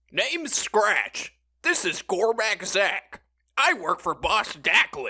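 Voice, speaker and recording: Using a put-on character voice, a man speaks at a high pitch. His pace is very slow. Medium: audio drama. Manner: excitable.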